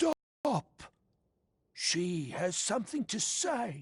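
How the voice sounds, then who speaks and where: Very slow and fairly high-pitched, this put-on character voice moves through very wide pitch swings. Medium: video game. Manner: cryptic, speaks of her in third person.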